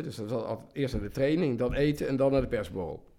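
This man talks very fast, keeping a medium pitch that varies in an ordinary way. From Midden-Limburg, Netherlands. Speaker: football journalist. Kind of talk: casual chat.

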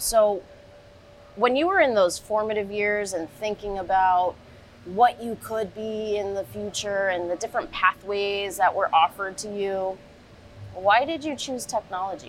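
At a fairly slow pace, a woman speaks at medium pitch with ordinary pitch variation while music plays in the background. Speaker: podcast host. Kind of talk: casual chat. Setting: live at a trade show.

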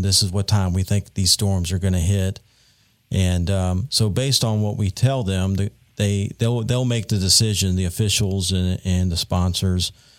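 A moderate pace in a Southern US accent, with very even loudness and fairly even intonation. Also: man. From North Carolina Piedmont. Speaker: meteorologist. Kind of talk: interview.

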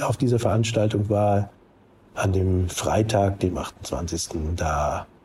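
With noticeable background noise behind him, a man speaks at a very slow pace with ordinary pitch variation. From northern Germany, near Hamburg. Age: 60s. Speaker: recovered Covid-19 patient. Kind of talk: phone interview. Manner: halting.

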